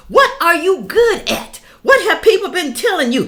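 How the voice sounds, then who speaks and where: Raised and projected, a woman's voice has an extremely high pitch, an animated tone and a bright, sharp tone. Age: 60s. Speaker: YouTuber. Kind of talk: opinion rant to camera.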